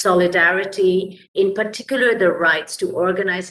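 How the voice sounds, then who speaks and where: A woman with a normal speaking voice and ordinary pitch variation. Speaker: labour rights advocate. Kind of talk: panel presentation.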